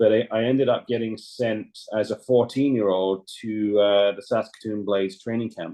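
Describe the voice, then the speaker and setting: A man with a London accent speaks at a moderate pace in a fairly low pitch. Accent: southern English (London). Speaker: former ice hockey goaltender. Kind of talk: podcast interview.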